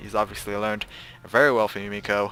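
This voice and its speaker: A man speaks with music playing in the background. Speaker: game commentator. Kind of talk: play-by-play game commentary. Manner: relaxed, many filler words.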